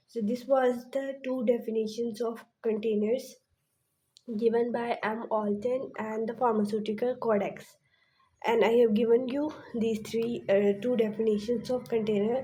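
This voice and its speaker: A woman's fairly high, dark and mellow voice, fairly even in intonation, at a moderate pace amid audible room echo. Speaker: pharmacy lecturer. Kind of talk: lecture.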